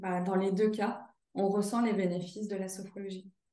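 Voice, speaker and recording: A woman with a dark, mellow tone, medium pitch and fairly even intonation, in audible room echo. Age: 30s. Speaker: sophrologist and career counselor. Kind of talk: testimonial interview. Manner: hesitant, many fillers.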